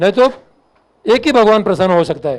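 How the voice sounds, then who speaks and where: This is a man talking. His pitch is high. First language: Marathi (speaking Hindi). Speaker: fire officer. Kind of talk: lecture.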